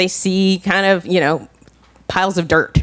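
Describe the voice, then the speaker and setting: A woman's normal speaking voice, fairly low in pitch, at a moderate pace. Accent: American. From New Jersey. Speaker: town planner. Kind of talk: conference presentation.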